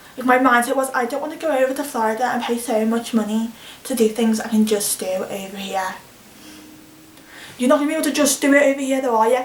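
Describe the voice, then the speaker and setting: A woman speaks at a very fast pace in a high voice with ordinary pitch variation. Noticeable background noise runs under her speech. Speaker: vlogger. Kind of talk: casual vlog monologue.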